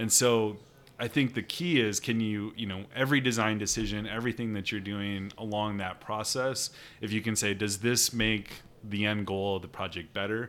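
In an ordinary speaking voice, a man with an American accent talks at a moderate pace with a fairly low pitch and fairly even intonation. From Northwest Iowa (Sheldon). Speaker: architect. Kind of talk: casual interview.

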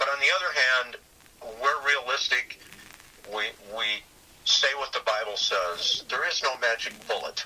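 Noticeable background noise runs behind a man speaking at a fairly slow pace. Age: 70s. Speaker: retired pastor and Bible scholar. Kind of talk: casual discussion. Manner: halting, many fillers.

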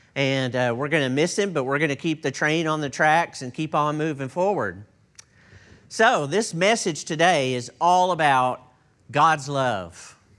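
With a Texan accent, a man speaks at a fairly slow pace using lively intonation. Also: fairly high pitch for a man. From Texas. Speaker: pastor. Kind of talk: sermon. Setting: church.

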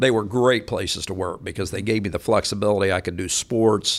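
An unremarkable speaking voice with an American accent moves at a fairly quick pace with ordinary pitch variation on a very clean recording with a silent background. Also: man. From Kansas. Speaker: mortgage bank CEO. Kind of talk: interview. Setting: studio.

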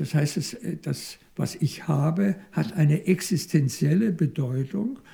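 A high-pitched male voice with lively intonation at a very slow pace. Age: 70s. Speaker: psychoanalyst. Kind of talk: interview. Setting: institute office. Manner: halting.

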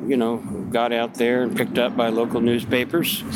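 A man speaks with an American accent at a medium pitch. Noticeable background noise is present. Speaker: Vietnam veteran. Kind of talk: interview. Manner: halting.

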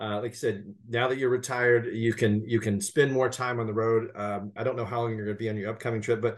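This man has an unremarkable speaking voice, medium in pitch, and talks at a fairly quick pace. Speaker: podcast host and magazine editor. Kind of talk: interview, casual conversation.

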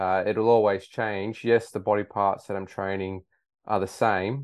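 Over a quiet background, a man with an Australian accent speaks at a very slow pace. His pitch is fairly low and his intonation fairly even. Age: 30s. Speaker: high school science teacher. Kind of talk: casual interview.

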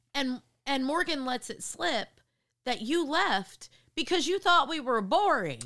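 A woman speaks at a fairly slow pace in a raised, projected, high-pitched voice with a bright, sharp tone, an animated delivery and very wide pitch swings, on a very clean recording with a silent background. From New York, near Connecticut border. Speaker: therapist and podcast host. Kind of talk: casual family chat.

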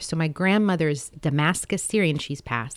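A woman with a very deep, low pitch speaks at a moderate pace with ordinary pitch variation. The recording is very clean, with a silent background and a dry, close sound with no echo. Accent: American. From born in US, childhood partly in Saudi Arabia. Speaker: poet and translator. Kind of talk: interview conversation.

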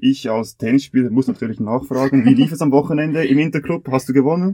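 A dark, mellow tone carries a fairly quick delivery with ordinary pitch variation and hardly any pauses. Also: man. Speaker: podcast host, sports student. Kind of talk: scripted explanation; casual chat.

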